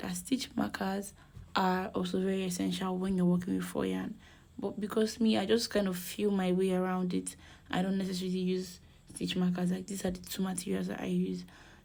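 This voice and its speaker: A soft-spoken woman talks at a fairly quick pace. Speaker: crochet tutorial maker. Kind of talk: tutorial.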